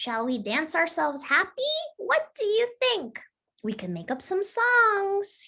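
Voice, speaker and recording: A woman's quiet, squeaky put-on character voice, extremely high in pitch with very wide pitch swings, at a fairly slow pace. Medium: read story. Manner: quiet, shy.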